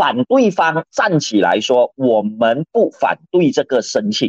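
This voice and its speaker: Speaking at a very slow pace, a man uses vocal fry and very wide pitch swings, with a dry, close sound that has no echo. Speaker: lawyer and political columnist. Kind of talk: radio current-affairs commentary.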